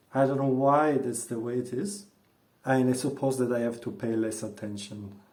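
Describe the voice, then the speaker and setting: A man talks in a medium pitch with a dark, mellow tone. His ordinary pitch variation comes through with audible room echo. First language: not English (native language other). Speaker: vlogger. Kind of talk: casual monologue vlog. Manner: hesitant with fillers. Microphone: earphones mic, worse audio.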